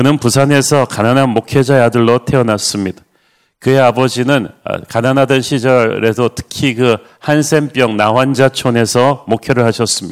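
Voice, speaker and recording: With an ordinary speaking voice, a man talks at a moderate pace and medium pitch, his loudness very even and his intonation fairly even. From South Korea, Busan. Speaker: pastor. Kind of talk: sermon. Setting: online livestream.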